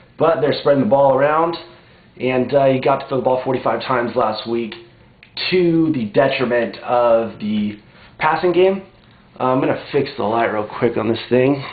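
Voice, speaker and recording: A man speaks with ordinary pitch variation amid audible room echo. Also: medium pitch for a man, moderate pace. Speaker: fantasy football vlogger. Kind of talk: casual vlog. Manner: kept quiet, softer than usual; casual, lots of fillers.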